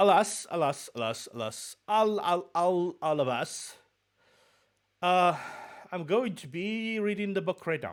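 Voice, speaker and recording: With a slight Russian accent, a man speaks at a high pitch and a fairly slow pace, with lively intonation and long, frequent pauses, in a very clean recording with a silent background. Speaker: VTuber streamer. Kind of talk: casual chat. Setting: live stream.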